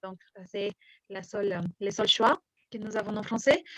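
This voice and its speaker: A woman's somewhat breathy voice with a non-native accent, dry and close with no echo. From Mexico. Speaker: French teacher. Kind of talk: interview. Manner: hesitant, many fillers.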